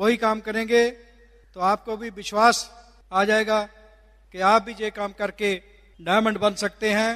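This man's high voice has a bright, sharp tone and a flat, monotone intonation. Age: 60s. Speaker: physician and direct-selling business leader. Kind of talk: motivational speech. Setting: stage with audience.

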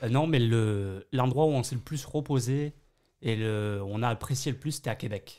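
Against a quiet background, a man talks at a moderate pace with a medium pitch, a dark, mellow tone and ordinary pitch variation. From Bayonne, southwest France. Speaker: French immigrant, hospitality worker. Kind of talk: interview. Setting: studio. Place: studio.

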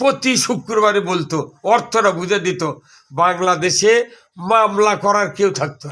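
A man with a high pitch and a bright, sharp tone projects a raised voice, his loudness swinging widely while his pitch varies in an ordinary way. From Bangladesh, Bogura. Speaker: Islamic cleric and local party leader. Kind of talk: speech at a meeting of clerics.

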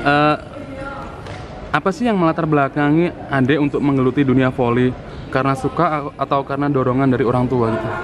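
Over noticeable background noise, a man with a fairly high pitch talks at a very fast pace, his loudness very even and his intonation fairly even. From Madiun, East Java; East Java. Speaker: YouTube vlogger interviewer. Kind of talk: casual interview. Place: hall. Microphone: phone near.

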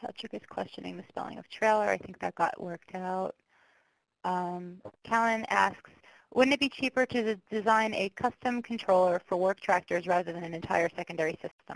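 A woman with an ordinary speaking voice talks at a moderate pace and medium pitch, with ordinary pitch variation and big swings in loudness, in a dry, close sound with no echo. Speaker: webinar moderator. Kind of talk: webinar moderation. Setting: online webinar.

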